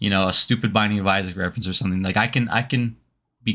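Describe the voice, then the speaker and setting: A man's fairly low voice with a bright, sharp tone. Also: very clean recording, silent background. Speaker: streamer. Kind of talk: personal talk to viewers on stream. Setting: live stream. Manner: halting.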